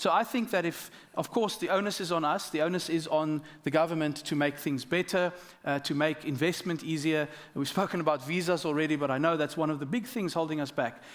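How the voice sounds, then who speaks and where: This man has a South African accent and talks fairly quickly at a fairly high pitch, with ordinary pitch variation. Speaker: government minister. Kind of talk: panel discussion.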